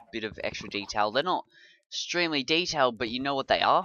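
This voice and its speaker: A man with an Australian accent talks at a fairly quick pace. His fairly high voice has lively intonation. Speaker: gaming video creator. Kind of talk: let's play commentary. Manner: casual, chatty with fillers.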